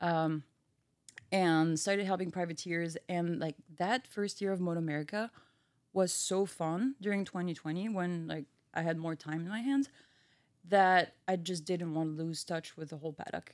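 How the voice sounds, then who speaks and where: In a very clean recording with a silent background, a woman with a French accent speaks with ordinary pitch variation. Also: fairly low pitch for a woman, moderate pace. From France, Brittany. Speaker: engine research engineer. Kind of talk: casual chat.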